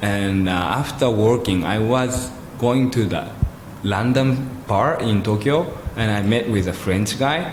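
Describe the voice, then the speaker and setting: Amid audible room echo and noticeable background noise, a man with a Japanese accent speaks fairly slowly in a fairly low voice. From Japan (Kobe, Yokohama). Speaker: photographer. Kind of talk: interview conversation.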